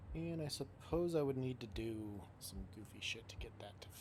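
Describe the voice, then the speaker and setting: A man with a fairly low pitch speaks at a moderate pace, his loudness rising and falling sharply and his pitch swinging very widely, with audible echo from the room. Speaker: gaming streamer. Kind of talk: live gameplay commentary. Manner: casual, swearing-laced muttering.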